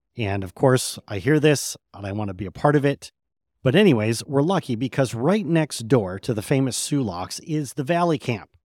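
An enthusiastic man with an American accent, very wide pitch swings and a moderate pace, in a dry, close sound with no echo. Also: medium pitch for a man, very clean recording, silent background. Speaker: podcast host. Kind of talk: interview.

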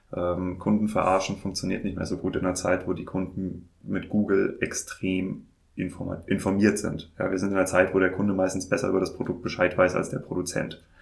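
A man's very deep, low voice, monotone and flat, somewhat breathy, at a fairly quick pace with hardly any pauses. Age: 30s. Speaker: wine podcast host and trade journalist. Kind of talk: interview. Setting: in-person studio at an agency in Mainz.

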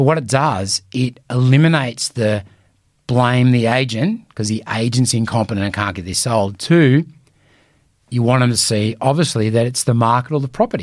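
In an Australian accent, a man speaks at a fairly quick pace with medium pitch and ordinary pitch variation, on a very clean recording with a silent background. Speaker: real estate coach. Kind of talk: solo podcast talk. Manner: casual, conversational.

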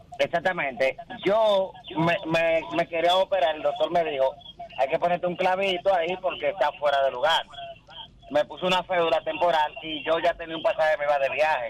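A man's high-pitched voice at a moderate pace, with fairly even intonation and a dry, close sound with no echo, amid noticeable background noise. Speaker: caller. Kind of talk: casual chat. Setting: phone call.

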